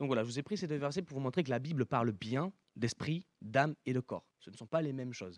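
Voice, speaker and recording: An ordinary speaking voice from a man, medium in pitch with ordinary pitch variation, at a fairly quick pace with big swings in loudness, dry and close with no echo. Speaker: preacher. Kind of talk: sermon.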